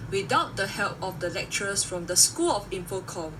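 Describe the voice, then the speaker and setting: A woman talks at a moderate pace with very wide pitch swings. There is noticeable background noise. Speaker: graduating student. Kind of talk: reading aloud a prepared speech. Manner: formal.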